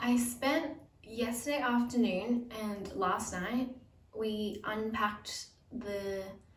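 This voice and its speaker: A woman's fairly high voice at a very slow pace, with ordinary pitch variation, audible room echo, and noticeable background noise. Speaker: vlogger. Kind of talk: casual vlog talk.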